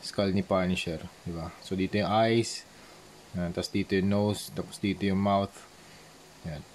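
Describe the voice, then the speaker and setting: A man talks at a moderate pace with a fairly low pitch. His intonation is flat and monotone, with long, frequent pauses. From Philippines, Manila. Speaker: visual artist, toy customizer. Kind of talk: tutorial. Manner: casual, halting with fillers.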